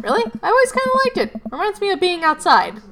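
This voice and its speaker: In a put-on character voice, someone squeaks out high-pitched lines at a very fast pace with very wide pitch swings. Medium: game stream. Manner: relaxed, friendly.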